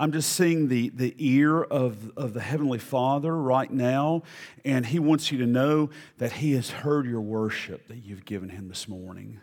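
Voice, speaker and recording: Ordinary pitch variation and a moderate pace mark a plain, everyday voice. Loudness shows big swings. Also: man, medium pitch for a man. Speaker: guest preacher. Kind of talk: sermon. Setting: church.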